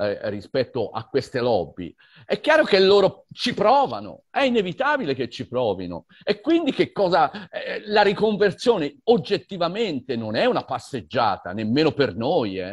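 A man's high voice at a moderate pace with very wide pitch swings, against a quiet background. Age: 60s. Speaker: environmental activist and teacher. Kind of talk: online conversation. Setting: video call.

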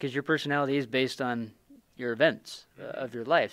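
A man speaking at a very fast pace, in a very clean recording with a silent background. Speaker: podcast host. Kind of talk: interview conversation. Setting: convention room.

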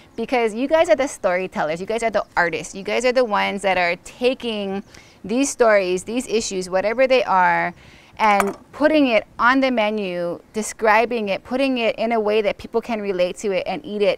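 A woman speaks at a moderate pace with ordinary pitch variation, her voice dry with no echo. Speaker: host talking with a chef. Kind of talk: casual conversation. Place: garden.

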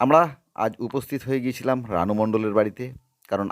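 A man talks in an unremarkable speaking voice at a medium pitch with ordinary pitch variation. The recording is very clean, with a silent background. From Ranaghat, West Bengal. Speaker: history channel presenter. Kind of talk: on-location vlog intro and interview.

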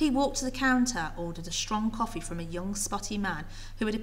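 The reading is delivered without any strain.

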